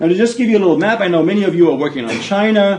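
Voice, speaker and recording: Audible room echo accompanies a man talking at a fairly quick pace. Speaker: business school professor. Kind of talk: lecture. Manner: fast.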